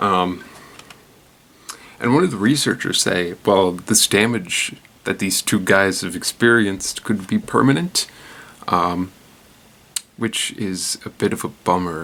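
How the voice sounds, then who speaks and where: A soft-spoken man at a fairly low pitch, fairly slow pace and ordinary pitch variation, with long, frequent pauses. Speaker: news commentary show host. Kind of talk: casual news commentary. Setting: at home at night. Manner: quiet, soft-spoken; hesitant, many fillers.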